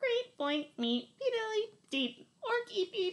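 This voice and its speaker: A woman puts on a squeaky character voice at an extremely high pitch. She talks at a fairly slow pace with very wide pitch swings. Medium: read story. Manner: bleeping, menacing.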